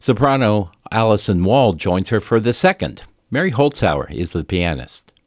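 Vocal fry colors this man's fairly low voice, which swings very widely in pitch. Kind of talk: classical radio announcing. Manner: formal, polished, measured; clear, even, unhurried.

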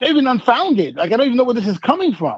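In an American accent, a man speaks with very wide pitch swings. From Brooklyn, New York. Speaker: newspaper editor. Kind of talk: casual interview.

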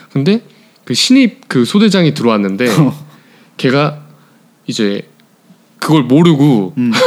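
A man with a fairly high voice speaks at a fairly slow pace, his pitch swinging very widely. Long pauses break up his speech often. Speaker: podcast co-host, office worker. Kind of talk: casual chat.

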